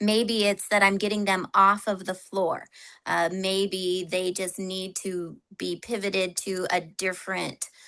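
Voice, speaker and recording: Against a quiet background, a woman speaks in monotone, flat intonation with a bright, sharp tone. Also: medium pitch for a woman, fairly slow pace. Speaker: workforce expert, trainer. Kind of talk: webinar discussion.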